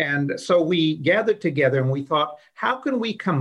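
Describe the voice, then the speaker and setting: A man with a plain, everyday voice speaks at a moderate pace in a fairly high pitch with lively intonation. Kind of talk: casual interview.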